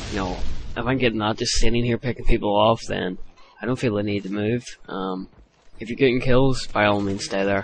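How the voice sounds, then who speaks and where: Noticeable background noise sits behind a man's voice. He speaks at a medium pitch with fairly even intonation. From Ireland. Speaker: gaming commentator. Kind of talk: gameplay commentary tutorial. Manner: hesitant, many fillers.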